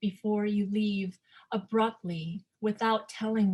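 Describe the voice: Against a quiet background, this is plain reading aloud with fairly even intonation.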